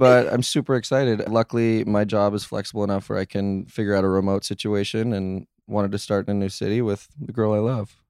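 Talking very fast with hardly any pauses, a man holds a flat monotone at a fairly low pitch. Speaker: guest. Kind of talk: casual chat.

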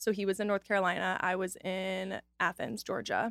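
In a dry, close recording with no echo, a woman talks at a moderate pace with flat, monotone intonation. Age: 20s. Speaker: lifestyle influencer. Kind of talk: casual chat.

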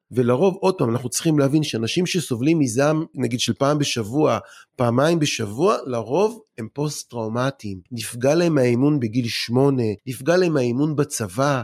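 In a plain, everyday voice, a man speaks at a medium pitch and moderate pace. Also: lively intonation. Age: 40s. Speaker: anger-management expert and lecturer. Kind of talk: casual interview.

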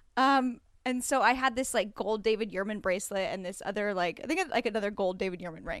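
Speaking at a very fast pace with hardly any pauses, a woman uses a fairly high pitch and ordinary pitch variation. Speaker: friend and returning guest. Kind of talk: casual chat.

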